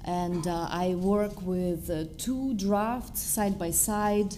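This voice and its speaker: A woman's very slow speech in a Russian accent, with audible room echo. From Belarus. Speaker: poet. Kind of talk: panel discussion at a literary event.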